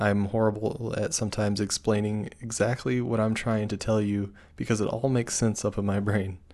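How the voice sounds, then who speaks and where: With an unremarkable speaking voice, a man talks at a fairly quick pace in a fairly low pitch, with ordinary pitch variation, hardly any pauses and a quiet background. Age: 20s. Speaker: podcast co-host. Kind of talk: casual chat.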